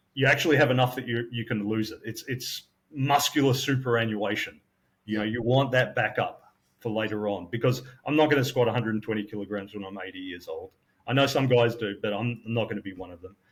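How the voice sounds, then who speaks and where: A man with an Australian accent, at a medium pitch and a very fast pace, somewhat breathy, with ordinary pitch variation. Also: big swings in loudness. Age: 50s. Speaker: personal trainer. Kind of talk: casual debate chat.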